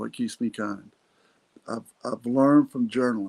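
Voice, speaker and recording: The sound is dry and close, without any echo. A man speaks in a Texan accent, his intonation flat and monotone. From Texas, Irving. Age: 60s. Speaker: podcast host. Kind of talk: motivational talk. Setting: solo podcast recording.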